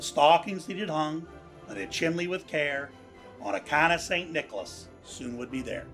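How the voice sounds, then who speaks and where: A man speaks at a high pitch in a Pittsburgh accent. Music plays in the background. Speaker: cartoonist. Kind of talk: poetry reading.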